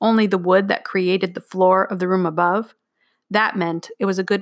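A quiet background, fairly even intonation, and reading aloud in a natural voice

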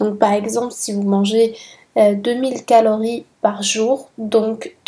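A woman talks very slowly in a flat monotone. Her fairly high voice carries a dark, mellow tone. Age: 20s. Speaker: podcast host. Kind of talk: solo educational monologue.

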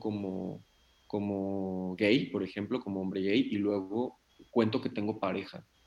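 A man's fairly low, monotone, flat voice at a very slow pace. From Mexico, Nayarit. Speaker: psychologist and psychotherapist. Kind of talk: interview. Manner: halting, many fillers and repetitions.

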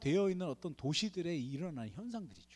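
The speaker is a man. His tone is dark and mellow. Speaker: missionary. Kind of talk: sermon. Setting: church. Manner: animated.

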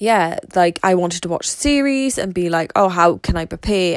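Vocal fry at a moderate pace, with ordinary pitch variation. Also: woman.

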